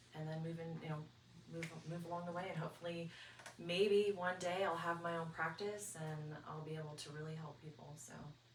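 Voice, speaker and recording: A woman speaks at a fairly quick pace with a fairly low pitch and monotone, flat intonation. The recording has audible room echo and noticeable background noise. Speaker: psychology student, guest. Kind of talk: interview, personal testimony. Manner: halting, many fillers.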